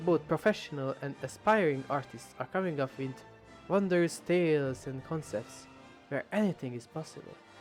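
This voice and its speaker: A man's fairly high voice with a strong non-native accent, music in the background. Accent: thick non-native English. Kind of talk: video essay narration. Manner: rambling, casual.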